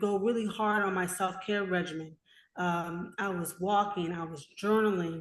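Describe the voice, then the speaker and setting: A woman speaks in a normal speaking voice at a moderate pace and medium pitch. Her intonation is fairly even, and the background is quiet. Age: 30s. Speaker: author and mental health advocate. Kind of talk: interview, personal testimony.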